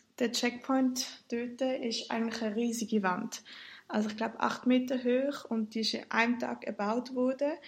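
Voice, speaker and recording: With a Swiss accent, a woman with a high voice speaks at a moderate pace and with fairly even intonation. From Switzerland. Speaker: student and solo backpacker. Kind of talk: casual interview chat. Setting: internet call.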